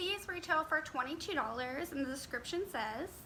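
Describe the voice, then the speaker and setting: Over noticeable background noise, a woman talks at a fairly quick pace in a raised, projected voice. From Las Vegas, Nevada, USA. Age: 20s. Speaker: beauty YouTuber. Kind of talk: casual talk to camera, product review.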